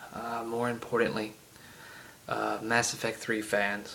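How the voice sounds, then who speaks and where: In a strong Southern US accent, the speaker goes at a fairly slow pace, with audible room echo and noticeable background noise. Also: man. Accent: heavy Southern US. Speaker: gaming video creator. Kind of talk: solo rant to camera. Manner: halting, many fillers.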